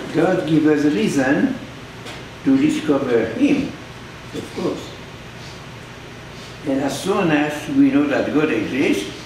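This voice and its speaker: Against noticeable background noise, a man with a fairly high pitch talks at a fairly slow pace, leaving long, frequent pauses. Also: ordinary pitch variation. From Belgium. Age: 80s+. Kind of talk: sermon.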